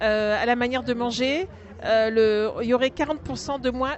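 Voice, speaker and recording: A woman speaks at a moderate pace. Her voice is high-pitched with ordinary pitch variation. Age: 60s. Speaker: charity volunteer, cancer survivor. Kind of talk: interview testimony. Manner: hesitant, many fillers.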